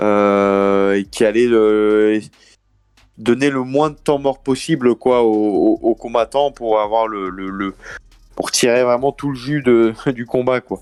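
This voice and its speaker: Music plays behind a man speaking very slowly at medium pitch. His intonation is fairly even, and the sound is dry and close with no echo. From France. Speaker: MMA fighter. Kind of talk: interview. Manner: hesitant, many fillers.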